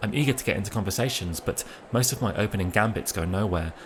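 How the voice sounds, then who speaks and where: A man with a British accent, fairly low-pitched and very fast, amid noticeable background noise. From Britain. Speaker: writer reading his own travel pieces. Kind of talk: first-person narration read aloud.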